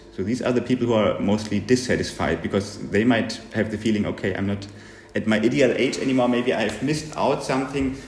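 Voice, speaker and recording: Fairly quick speech from a man with ordinary pitch variation, against noticeable background noise. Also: medium pitch for a man. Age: 40s. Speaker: psychologist, researcher. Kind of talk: interview. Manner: halting, many fillers.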